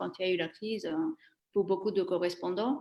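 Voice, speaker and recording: Woman with an Italian accent. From Italy. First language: Italian (speaking French). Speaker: former trade journalist, career changer. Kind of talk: interview. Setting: live stream. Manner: halting, many hesitations.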